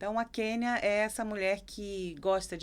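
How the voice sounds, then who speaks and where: In a Rio de Janeiro accent, a woman of medium pitch speaks at a fairly slow pace on a very clean recording with a silent background. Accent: carioca. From Brazil, Rio de Janeiro. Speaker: psychoanalyst. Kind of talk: interview conversation.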